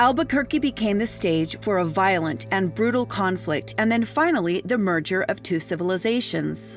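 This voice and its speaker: A woman at a moderate pace, hardly any pauses, very even loudness, music in the background. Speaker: travel and ghost story host. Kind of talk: travel tour narration.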